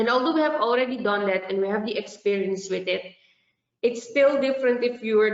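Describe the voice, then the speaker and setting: Fairly high in pitch, a woman speaks with a Dutch accent. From Suriname. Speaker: festival organizer. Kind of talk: online meeting presentation.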